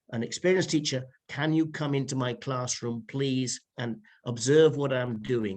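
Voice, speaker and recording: A man speaks with a British accent at a medium pitch. His pace is moderate, and his pitch varies in an ordinary way. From United Kingdom. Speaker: private teacher. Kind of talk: interview answer.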